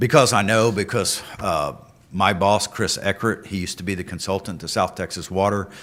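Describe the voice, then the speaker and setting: With a fairly low pitch, a man talks at a moderate pace. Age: 50s. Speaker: utility rate consultant. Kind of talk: public meeting presentation. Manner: halting.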